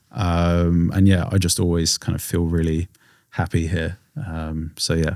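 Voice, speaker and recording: A moderate pace carries a monotone, flat intonation in an English accent. The recording is very clean, with a silent background. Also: man. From England. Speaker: singer-songwriter. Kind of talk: podcast interview. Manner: trailing off, hesitant with fillers.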